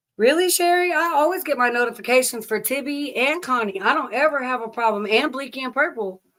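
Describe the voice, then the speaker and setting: A bright, sharp voice with a Southern US accent moves at a fairly quick pace with lively intonation, recorded very cleanly against a silent background. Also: woman. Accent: Southern US (Oklahoma). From Oklahoma. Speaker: live streamer. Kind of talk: casual chat. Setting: livestream. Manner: casual, chatty.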